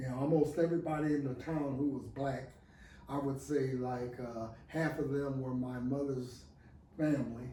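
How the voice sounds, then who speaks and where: A man with an American accent at a medium pitch, monotone and flat, at a moderate pace, with noticeable background noise and audible room echo. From northern Illinois. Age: 70s. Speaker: professor. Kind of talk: interview.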